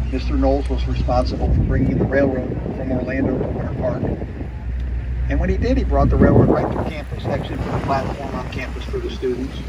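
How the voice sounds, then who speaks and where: A man's fairly quick speech competes with loud background noise. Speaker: tour boat guide. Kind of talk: tour guide commentary. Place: boat.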